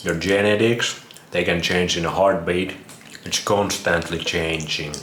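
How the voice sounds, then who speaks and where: A man with a Finnish accent speaks in a very deep, low pitch and a monotone, flat intonation. Noticeable background noise and audible room echo fill the recording. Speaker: vlogger. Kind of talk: casual monologue.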